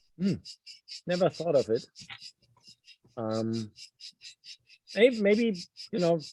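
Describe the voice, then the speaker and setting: The man's voice is high and dark, mellow in tone, with very wide pitch swings. He speaks very slowly, leaving long, frequent pauses. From Germany. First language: German. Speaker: novelist. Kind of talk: Q&A interview. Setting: video call. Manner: halting.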